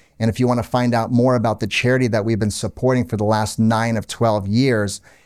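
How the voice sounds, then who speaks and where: A man speaks at a medium pitch with an American accent. His intonation is monotone and flat, on a very clean recording with a silent background. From Orlando, Florida. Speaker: charity event organizer. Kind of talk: casual interview chat.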